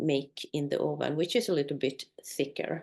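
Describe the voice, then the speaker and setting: A woman speaks at a fairly slow pace with vocal fry. Her pitch is very deep and low, with ordinary pitch variation. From northern Sweden, Sami community. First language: Swedish or North Sami. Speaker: Sami tour company owner. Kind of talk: conversation. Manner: halting.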